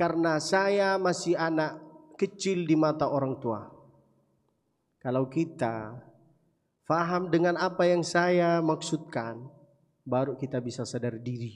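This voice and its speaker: A fairly high-pitched man with an Arabic accent, with audible room echo. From Saudi Arabia, Mecca. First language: Arabic (speaking Indonesian). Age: 20s. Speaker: preacher. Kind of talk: sermon. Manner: animated.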